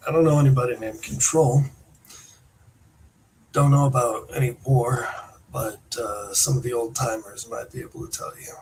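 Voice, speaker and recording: A raspy, put-on character voice from a man at medium pitch, moderate in pace with fairly even intonation and long, frequent pauses. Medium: actual play. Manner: casual, friendly.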